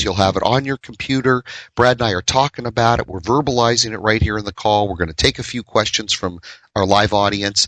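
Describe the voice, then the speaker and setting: Against a quiet background, a man speaks at a fairly quick pace in an unremarkable speaking voice of medium pitch with ordinary pitch variation, the sound dry and close with no echo. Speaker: radio host. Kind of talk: radio talk show.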